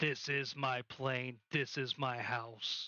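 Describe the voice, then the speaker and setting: A man puts on a raspy character voice at medium pitch. He speaks at a very slow pace in a flat monotone. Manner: intimidating, territorial.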